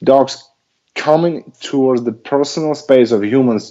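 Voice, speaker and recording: The speaker is a man with a non-native accent. He speaks at a medium pitch. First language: not English. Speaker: dog trainer. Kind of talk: casual chat. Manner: halting.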